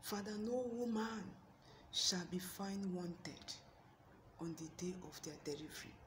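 A woman's medium-pitched voice at a fairly slow pace, ordinary pitch variation, and noticeable background noise. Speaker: prayer channel host. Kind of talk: fervent intercessory prayer. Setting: video address to online audience. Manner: impassioned, pleading; earnest, rhythmic, repetitive invocations.

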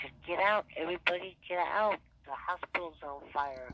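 The speaker's voice carries vocal fry. The delivery moves at a fairly slow pace. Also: woman. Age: 60s. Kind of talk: casual phone conversation.

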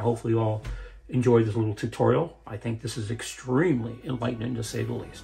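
Faint music plays in the background as a man speaks at a very fast pace. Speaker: inventor building a magnet motor prototype. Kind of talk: tutorial. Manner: halting. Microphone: camera far.

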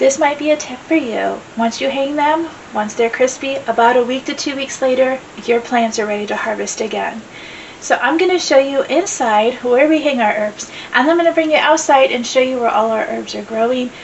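A woman's high-pitched voice at a moderate pace, ordinary pitch variation, light background noise. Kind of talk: casual vlog chat. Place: home room.

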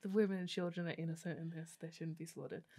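With an Australian accent, a woman speaks in a fairly low pitch against a quiet background. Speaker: podcast co-host and theatre maker. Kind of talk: casual chat. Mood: animated, opinionated. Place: studio. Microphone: studio mic.

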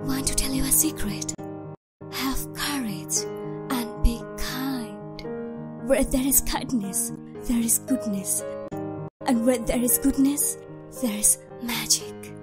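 Clear music plays in the background as a woman speaks at a very slow pace. She leaves long, frequent pauses. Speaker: voice actor. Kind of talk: storytelling narration. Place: studio.

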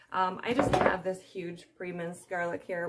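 A woman's speech sits under loud background noise. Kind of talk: cooking tutorial. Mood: friendly, chatty. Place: kitchen. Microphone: phone near.

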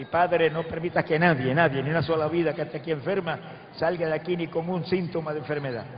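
Music is playing in the background. Over it, a man speaks fairly quickly. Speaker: preacher. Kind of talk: sermon prayer. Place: stage. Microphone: handheld.

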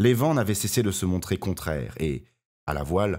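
A man uses a theatrical tone with vocal fry at a fairly quick pace, recorded very cleanly against a silent background. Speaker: audiobook narrator. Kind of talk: dramatic audiobook narration, read aloud with character voices. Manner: theatrical, expressive, varying tone for each character; measured, gravely paced storytelling.

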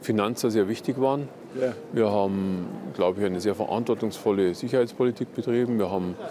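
The voice has ordinary pitch variation and a dry sound with no echo. Noticeable background noise is present. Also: man. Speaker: interviewee. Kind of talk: interview answer. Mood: calm, matter-of-fact. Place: market. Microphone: lapel.

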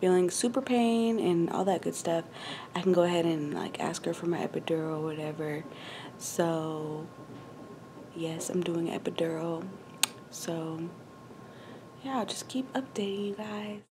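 A woman speaks at a moderate pace in a fairly low pitch, with ordinary pitch variation, long and frequent pauses, and noticeable background noise. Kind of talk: casual vlog chat. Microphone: phone near.

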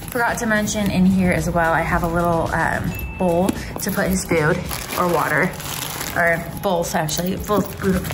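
Over music in the background, the speech moves at a moderate pace with very even loudness and fairly even intonation. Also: woman, fairly low pitch for a woman. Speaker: vlogger. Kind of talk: casual vlog chat. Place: home room. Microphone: phone near.

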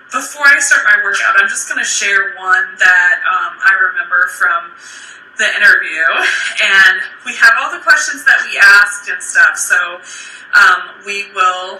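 A woman at a fairly slow pace, with audible room echo. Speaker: fitness live streamer. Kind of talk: casual live stream chat. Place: home room. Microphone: phone near.

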